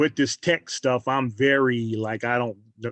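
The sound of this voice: At a fairly slow pace, a man speaks at medium pitch with fairly even intonation and a fairly bright tone.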